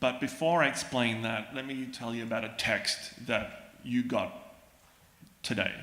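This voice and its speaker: There is audible room echo as a man with an Australian accent speaks at a medium pitch. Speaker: psychologist. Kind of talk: lecture.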